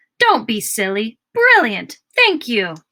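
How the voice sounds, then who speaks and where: Putting on a character voice, a woman speaks at a fairly slow pace with a fairly high pitch. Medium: read story. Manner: booming, effusive, theatrical.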